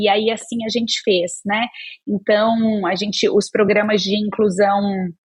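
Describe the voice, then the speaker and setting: A woman's somewhat breathy voice moves at a fairly slow speed. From Brazil, interior of Goiás. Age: 40s. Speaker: advertising agency culture and HR executive. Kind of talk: podcast interview. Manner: hesitant fillers.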